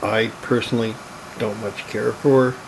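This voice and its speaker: There is noticeable background noise as a man talks in a medium pitch. His intonation is monotone and flat. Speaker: PC hobbyist, computer restorer. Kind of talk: casual talk to camera.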